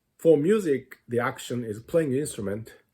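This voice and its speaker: The man's tone is dark and mellow. There is a somewhat breathy quality to his voice. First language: not English. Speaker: music teacher. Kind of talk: lecture.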